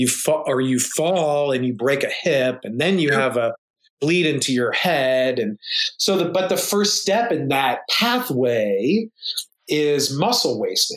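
A man speaks in a normal speaking voice. His pace is fairly slow, and his intonation is lively. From United States. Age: 30s. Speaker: emergency physician and powerlifter. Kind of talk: casual interview.

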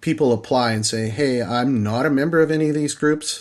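A man speaks at a moderate pace in a Canadian prairie accent. His intonation is fairly even, and the background is quiet. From Saskatchewan, Canada. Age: 50s. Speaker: sheep hunter. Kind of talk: casual interview.

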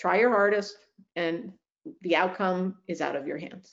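With vocal fry and a fairly low pitch, a woman talks at a fairly slow pace with ordinary pitch variation.

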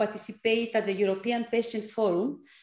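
With a Greek accent, a woman speaks at a fairly high pitch with ordinary pitch variation. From Greece. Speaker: app founder, former clinical researcher. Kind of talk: interview. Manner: halting, many fillers.

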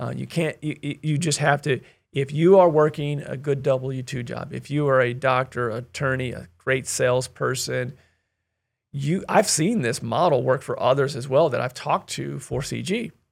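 In a very clean recording with a silent background, a man speaks at a moderate pace in a fairly high voice with ordinary pitch variation and vocal fry. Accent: American. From US Midwest. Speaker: real estate investor. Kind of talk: casual interview chat. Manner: energetic, passionate; loud, animated.

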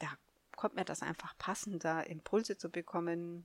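At a fairly low pitch, a woman talks at a moderate pace with ordinary pitch variation, in a dry, close sound with no echo. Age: 50s. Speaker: podcast host and life coach. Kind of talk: solo podcast monologue. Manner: halting, with many fillers.

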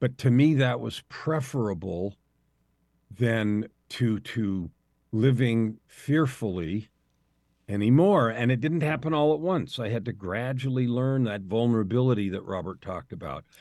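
In a normal speaking voice, a man of medium pitch talks at a fairly slow pace with lively intonation over a quiet background. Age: 60s. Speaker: life coach. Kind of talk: interview conversation.

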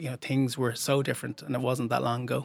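A man with an Irish accent, medium pitch and a very fast pace. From Ireland. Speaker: documentary filmmaker. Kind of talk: interview.

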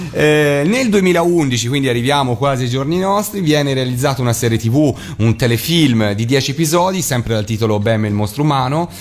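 Amid noticeable background noise, a man holds a very even loudness, speaking at a moderate pace and medium pitch with lively intonation. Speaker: radio host. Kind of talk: casual chat on live radio. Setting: radio studio, sharing one microphone.

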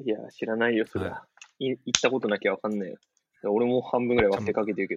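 Recorded with a dry, close sound and no echo, a man of medium pitch speaks at a very fast pace with fairly even intonation. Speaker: former footballer. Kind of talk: casual interview chat. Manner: frequent laughter.

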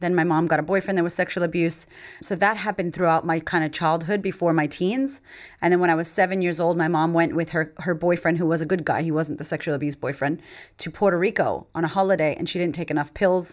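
Over a very clean recording with a silent background, a woman with an American accent speaks at a very fast pace in a fairly low pitch. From US Northeast, Massachusetts. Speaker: confidence coach and podcaster. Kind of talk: interview, life story. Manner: animated.

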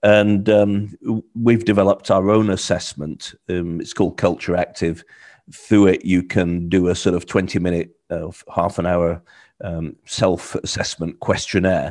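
Speaking in a British accent, a man with a very deep, low pitch talks at a fairly slow pace with fairly even intonation against a quiet background. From UK. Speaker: cultural training consultant. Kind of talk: interview answers.

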